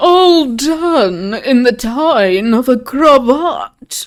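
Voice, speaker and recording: A put-on character voice drawls at a high pitch. The pace is very slow. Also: female-sounding voice. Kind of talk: comic overacting. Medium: read story. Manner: camp, affected, drawling.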